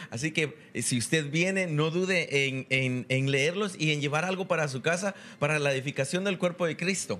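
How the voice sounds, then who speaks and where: A bright, sharp tone comes through at a moderate pace with ordinary pitch variation. The recording is very clean, with a silent background. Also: man, fairly high pitch for a man. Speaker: event announcer. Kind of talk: announcements. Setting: live-streamed church retreat.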